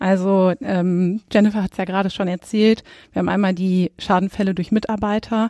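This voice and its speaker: A woman's dark, mellow tone and monotone, flat intonation in a dry, close sound with no echo, very cleanly recorded over a silent background. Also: medium pitch for a woman, moderate pace. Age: 30s. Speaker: insurance risk expert. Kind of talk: expert interview. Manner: frequent filler hesitations.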